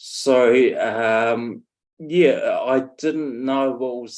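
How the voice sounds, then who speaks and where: A man with a New Zealand accent. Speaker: stroke survivor, former firefighter. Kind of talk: interview. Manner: halting, many fillers.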